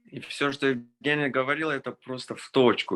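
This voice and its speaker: A man's bright, sharp tone with a slight non-native accent and a dry, close sound free of echo. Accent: slight foreign accent in Russian. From Israel. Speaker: orchestral violinist. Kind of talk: testimony. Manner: halting, many fillers.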